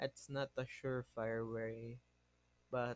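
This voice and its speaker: Heard in a dry, close sound with no echo, a man talks at a medium pitch with monotone, flat intonation. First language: not English. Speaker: podcast host. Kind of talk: casual monologue. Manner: halting, self-correcting.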